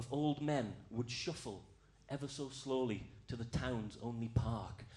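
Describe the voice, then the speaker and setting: Somewhat breathy, a man speaks at a fairly slow pace with audible room echo. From Scotland, Outer Hebrides. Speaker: comedian. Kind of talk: stand-up. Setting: stage with audience.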